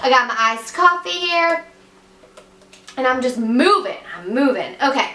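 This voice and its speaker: A woman speaks in a raised, projected voice with a high pitch. Audible room echo and noticeable background noise surround her. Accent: American. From West Virginia. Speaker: beauty vlogger. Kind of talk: makeup tutorial. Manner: fast; casual, chatty.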